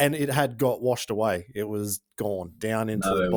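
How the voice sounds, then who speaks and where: In a very clean recording with a silent background, a man with an Australian accent speaks with lively intonation. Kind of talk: informal, some swearing. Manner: casual storyteller.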